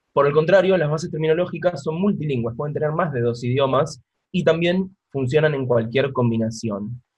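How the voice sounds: A man talks at a fairly quick pace with a fairly high pitch. His tone is slightly mellow, and his pitch varies in an ordinary way.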